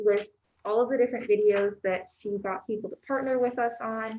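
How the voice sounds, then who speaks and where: Soft-spoken and fairly high-pitched, a woman talks at a moderate pace with fairly even intonation. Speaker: library staff member. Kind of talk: meeting report. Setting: board meeting room, hybrid in-person and online.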